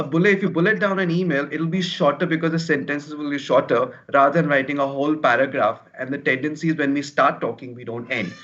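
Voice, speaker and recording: A man's fairly high voice at a very fast pace, hardly any pauses, ordinary pitch variation. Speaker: career coach. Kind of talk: webinar talk. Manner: fast when nervous.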